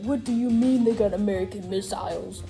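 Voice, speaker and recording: A female-sounding, gruff put-on character voice moves at a fairly quick pace. Clear music plays in the background. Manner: angry.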